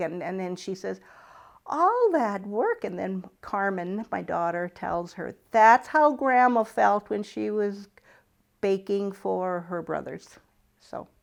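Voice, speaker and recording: With a North Dakota accent, a woman speaks at a very slow pace, medium pitch and ordinary pitch variation, her loudness swinging widely. The recording is very clean, with a silent background. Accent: Upper Midwest North Dakota. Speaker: retired farm woman. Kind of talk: oral history interview.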